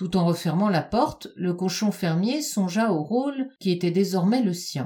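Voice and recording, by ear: Just reading aloud in a natural voice.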